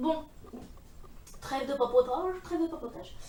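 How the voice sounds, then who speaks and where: Speaking fairly slowly, a woman is heard. Noticeable background noise comes through as well. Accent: strong northern French. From northern France. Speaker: beauty vlogger. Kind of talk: makeup tutorial. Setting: filming at home in front of mirror. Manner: casual, hesitant with fillers.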